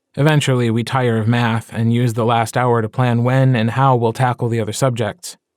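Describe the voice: Text read aloud plainly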